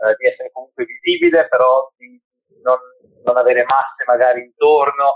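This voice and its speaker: Speaking at a fairly quick pace, a man leaves long, frequent pauses, and his loudness swings widely. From born in Peru, raised in Italy. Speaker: tattoo artist. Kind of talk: interview. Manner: talkative.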